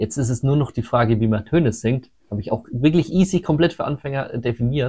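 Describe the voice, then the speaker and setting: A man speaks at a moderate pace with ordinary pitch variation. His tone is dark and mellow, somewhat breathy. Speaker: metal singer and sound engineer. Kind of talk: casual interview.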